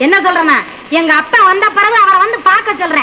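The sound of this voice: A woman's put-on character voice, extremely high-pitched with a bright, sharp tone, ordinary pitch variation and a fast pace, over faint background noise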